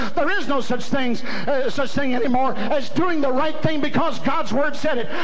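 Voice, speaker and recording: A man with an American accent speaks at an extremely high pitch over light background noise. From US South. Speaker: evangelist preacher. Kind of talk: revival sermon climax with call-and-response. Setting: church camp meeting with congregation. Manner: rhythmic repetition, punchy parallel phrases. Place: hall.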